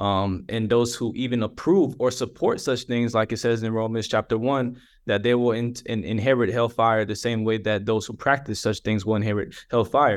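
A man's medium-pitched, ordinary speaking voice with an American accent, fairly even intonation, and hardly any pauses against a quiet background. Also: moderate pace. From Atlanta, Georgia (US South). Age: 20s. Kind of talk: testimony. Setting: video call.

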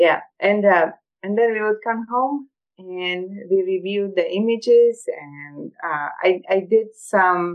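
Here a woman talks with a Croatian accent. She goes at a very slow pace. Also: medium pitch for a woman, ordinary pitch variation. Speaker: photographer and scientist. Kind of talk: interview. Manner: halting.

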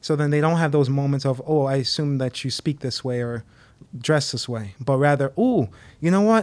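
In a normal speaking voice, a man with an American accent talks at a moderate pace, his fairly high pitch showing ordinary variation. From Connecticut, US; Haitian parents. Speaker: young adult ministry leader. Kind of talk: casual chat.

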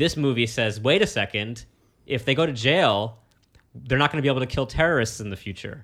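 A man with an American accent speaks at a medium pitch with ordinary pitch variation and a normal speaking voice. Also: fairly quick pace. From New York City. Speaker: comedian. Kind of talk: casual chat.

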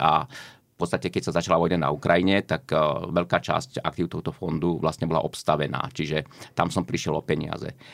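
Delivered at a fairly quick pace with ordinary pitch variation, the speech comes through in a very clean recording over a silent background. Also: man. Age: 60s. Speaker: economist. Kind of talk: interview.

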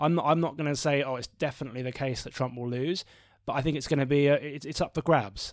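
Speaking in a British accent, a man has a fairly high pitch and fairly even intonation. He keeps a fairly quick pace. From Britain. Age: 30s. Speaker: podcast host, pollster. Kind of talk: casual political discussion.

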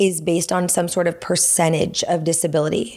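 A woman with a Californian accent speaks at a fairly low pitch. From US West Coast (Los Angeles, San Fernando Valley). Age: 30s. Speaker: pickleball coach and army veteran. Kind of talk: casual chat.

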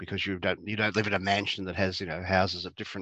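With an Australian accent, a man speaks at a very fast pace in a very deep, low voice with a bright, sharp tone and monotone, flat intonation, recorded with a dry, close sound with no echo over a quiet background. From Australia, Geelong, Victoria. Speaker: clinical psychologist. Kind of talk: interview.

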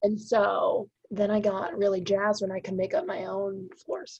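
A woman speaks in a somewhat breathy voice at medium pitch. Her pace is moderate and her pitch varies in an ordinary way. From Massachusetts North Shore. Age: 20s. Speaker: painter and art professor. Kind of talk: casual interview.

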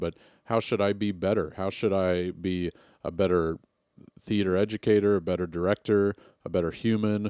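A man's very deep, low voice with fairly even intonation at a moderate pace, dry and close with no echo, on a very clean recording against a silent background. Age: 30s. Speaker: podcast host. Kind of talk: casual chat. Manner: rambling conversational with fillers.

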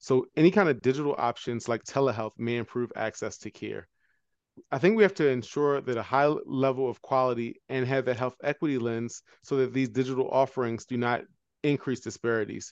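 A man with an American accent and a plain, everyday voice, medium pitch, ordinary pitch variation, fairly quick pace, dry, close sound with no echo. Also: quiet background. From Baltimore, US. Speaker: anesthesiologist, health equity medical director. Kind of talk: interview.

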